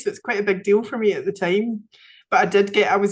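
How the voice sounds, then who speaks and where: A woman's medium-pitched voice with a Scottish accent, monotone and flat in intonation. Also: quiet background. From Scotland. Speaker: women's circle facilitator. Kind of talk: podcast interview answer.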